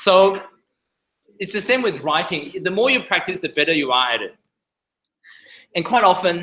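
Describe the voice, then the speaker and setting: A man in a non-native accent, high-pitched, bright and sharp in tone, with a raised, projected voice, lively intonation, a moderate pace and long, frequent pauses. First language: not English. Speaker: surgeon. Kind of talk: lecture. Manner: halting.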